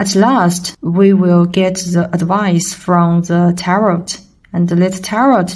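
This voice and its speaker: Somewhat breathy speech at a very slow pace with fairly even intonation. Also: woman. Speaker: tarot reader. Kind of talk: tarot reading for viewers. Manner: halting with many fillers.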